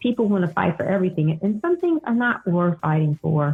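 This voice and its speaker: A woman talks at a fairly quick pace in a fairly low, somewhat breathy voice with lively intonation. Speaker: podcast host. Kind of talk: podcast talk.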